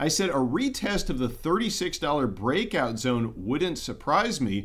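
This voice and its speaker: Audible room echo follows a man whose intonation is lively. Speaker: precious metals investing YouTuber. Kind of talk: livestream market commentary. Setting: livestream. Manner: pauses a lot; throat clearing, repeating things.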